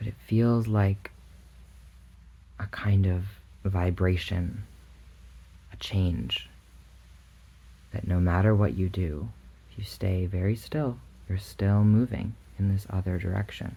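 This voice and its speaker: Soft-spoken and calm in tone, a man talks at a fairly low pitch with ordinary pitch variation. His pace is very slow, with long, frequent pauses. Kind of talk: ASMR bedtime visualization, soft-spoken guided relaxation. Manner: soft-spoken, calm, slow.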